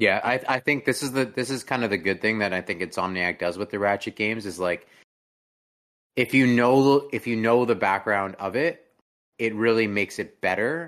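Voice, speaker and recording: A man with a plain, everyday voice at a medium pitch, moderate pace and ordinary pitch variation, over a quiet background. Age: 20s. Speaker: gaming podcast host. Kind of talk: casual chat. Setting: live stream.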